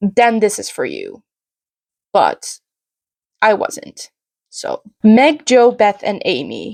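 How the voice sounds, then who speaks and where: Very slow speech in a Dutch accent, with a dry, close sound and no echo. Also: woman. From Netherlands. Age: 20s. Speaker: book reviewer. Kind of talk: casual chat. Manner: casual, hesitant with fillers.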